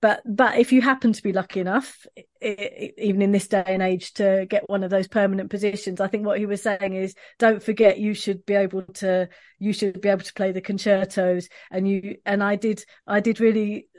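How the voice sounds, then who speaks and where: A woman in a London accent speaks at a fairly quick pace and medium pitch. Her intonation is monotone and flat against a quiet background. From East London, England. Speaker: professional oboist. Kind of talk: interview conversation. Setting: video call.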